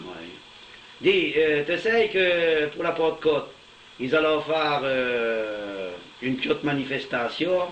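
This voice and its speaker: Over noticeable background noise, a man with a fairly high pitch speaks at a very slow pace with lively intonation and long, frequent pauses. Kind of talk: casual conversation in local dialect.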